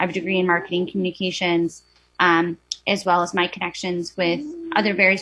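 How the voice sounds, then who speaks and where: A woman speaks with a Wisconsin accent against a quiet background. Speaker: board applicant. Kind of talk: public testimony. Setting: video call.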